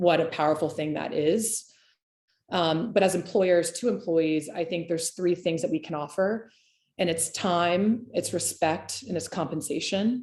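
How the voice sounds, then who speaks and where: A woman with a fairly low pitch talks at a fairly quick pace and with fairly even intonation. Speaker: hospitality business owner and consultant. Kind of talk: webinar presentation. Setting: online webinar. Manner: fast.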